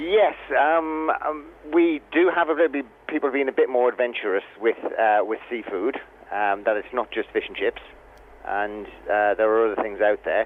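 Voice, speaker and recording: A man with a northern English accent, medium-pitched, with lively intonation at a moderate pace. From northern England. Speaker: hotel chef. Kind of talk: radio interview. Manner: halting.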